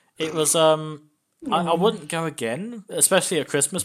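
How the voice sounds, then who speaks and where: A man's fairly high-pitched voice with an English accent and vocal fry. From England. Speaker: podcast host. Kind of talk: casual chat.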